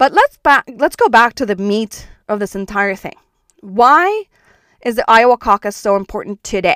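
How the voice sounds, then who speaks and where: A woman's fairly high, normal speaking voice at a moderate pace with lively intonation, dry and close with no echo, on a very clean recording with a silent background. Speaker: podcast host and founder. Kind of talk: scripted explainer, informative monologue. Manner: informal, explanatory, conversational.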